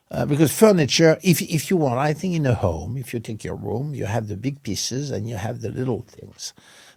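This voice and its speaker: Vocal fry and a French accent, with very wide pitch swings, a fairly quick pace and hardly any pauses. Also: man, medium pitch for a man. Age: 70s. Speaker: interior design company creative director. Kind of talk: interview. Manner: halting.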